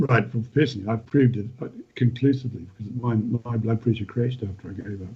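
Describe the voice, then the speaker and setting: Medium in pitch, this man's voice has a dark, mellow tone and is somewhat breathy. He speaks at a fairly quick pace. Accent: New Zealand. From New Zealand, North Island. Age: 70s. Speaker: retired farmer and author. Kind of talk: podcast interview. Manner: halting, many repetitions.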